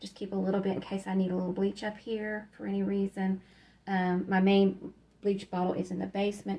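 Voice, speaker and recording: A woman's somewhat breathy, dark, mellow voice at a medium pitch, monotone and flat, at a fairly quick pace. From Kentucky. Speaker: YouTube decluttering vlogger. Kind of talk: casual home-tour vlog. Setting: at home, utility closet. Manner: hesitant, many filler ums.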